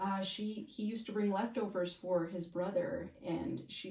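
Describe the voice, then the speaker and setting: A woman talks in a medium pitch with a dark, mellow, somewhat breathy tone. Room echo is audible. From Santa Fe, New Mexico, with part of childhood in Mexico. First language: Spanish. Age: 30s. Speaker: realtor. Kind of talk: casual interview chat.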